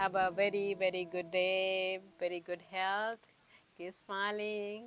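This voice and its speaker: A woman with an Indian accent speaks at a medium pitch. Her pace is very slow and her intonation flat and monotone. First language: Hindi. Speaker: yoga teacher.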